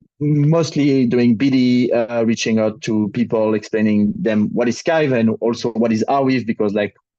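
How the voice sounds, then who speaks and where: In a French accent, a man speaks at a moderate pace with a dark, mellow tone. His pitch sits in the medium range, with ordinary variation. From France. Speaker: crypto project ecosystem lead. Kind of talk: panel introduction.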